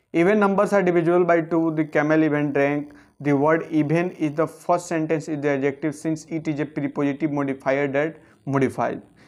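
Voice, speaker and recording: The speaker has an Indian accent and a fairly quick pace. The intonation stays fairly even. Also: man, fairly high pitch for a man. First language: Hindi. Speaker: English grammar teacher. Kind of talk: lecture. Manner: reading aloud. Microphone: phone near.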